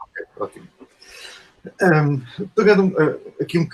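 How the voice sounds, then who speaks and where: A man speaks with a European Portuguese accent at a moderate pace. His voice is somewhat breathy. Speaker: professor. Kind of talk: lecture. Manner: hesitant, many fillers.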